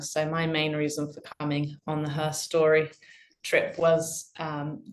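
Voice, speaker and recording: Speaking at a fairly slow pace with an English accent, a woman has a very deep, low pitch. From UK. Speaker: interviewee.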